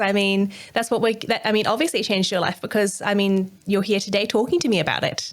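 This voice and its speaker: With an Australian accent, the speech moves at a fairly quick pace with hardly any pauses, ordinary pitch variation and very even loudness, on a very clean recording with a silent background. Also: woman. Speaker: podcast host. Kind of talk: podcast interview.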